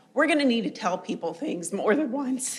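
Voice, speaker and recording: Her intonation is lively. The woman sounds somewhat breathy. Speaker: oncology nurse or clinician. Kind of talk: panel discussion.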